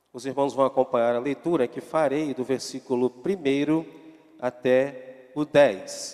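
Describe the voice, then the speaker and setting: Fairly even intonation marks this man's medium-pitched speech. Noticeable background noise can be heard behind him. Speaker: pastor. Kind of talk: sermon. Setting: church.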